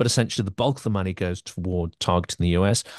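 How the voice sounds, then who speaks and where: A man with a British accent, dry, close sound with no echo, and a quiet background. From Britain. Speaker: podcast host. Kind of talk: interview.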